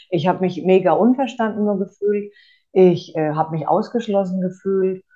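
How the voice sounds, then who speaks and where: A woman's fairly low-pitched voice at a moderate pace, with ordinary pitch variation. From Franconia, Germany. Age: 30s. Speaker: course participant, single mother. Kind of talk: interview testimony. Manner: hesitant, many filler sounds.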